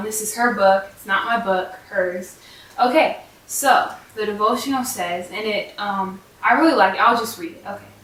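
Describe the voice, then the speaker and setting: With audible room echo and noticeable background noise, a woman speaks at a fairly high pitch. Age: young. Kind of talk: casual devotional vlog. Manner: hesitant, many fillers.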